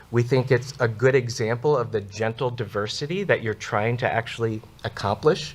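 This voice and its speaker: A man speaks at a moderate pace with ordinary pitch variation and a somewhat breathy voice. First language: not English. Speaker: church representative at city meeting. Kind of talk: public comment at hearing.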